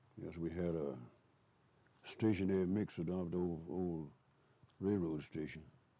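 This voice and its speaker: With audible room echo, a man speaks at a moderate pace in a very deep, low pitch and a dark, mellow tone, with fairly even intonation and long, frequent pauses. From East Texas. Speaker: elderly local resident. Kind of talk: oral history interview. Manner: halting. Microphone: muffled low recording.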